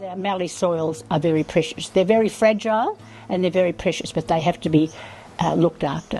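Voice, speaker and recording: With an Australian accent, a woman of fairly low pitch talks at a fairly quick pace with ordinary pitch variation. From rural Victoria, Australia. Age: 80s+. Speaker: retired farmer and Landcare advocate. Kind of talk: interview answer.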